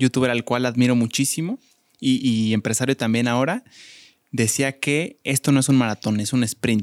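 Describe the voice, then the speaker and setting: A man speaks with a Mexican accent at a medium pitch and with fairly even intonation. The recording is very clean, with a silent background and a dry, close sound with no echo. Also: very even loudness. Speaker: podcast co-host. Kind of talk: casual chat.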